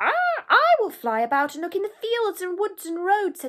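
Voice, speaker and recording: A woman uses a put-on character voice, extremely high and squeaky. She speaks at a moderate pace. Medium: read story. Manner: hesitant "ah" interjections.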